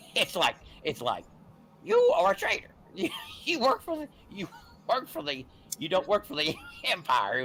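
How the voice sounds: Using a put-on character voice, a man sounds whiny at a high pitch, with very wide pitch swings. He keeps a moderate pace with long, frequent pauses.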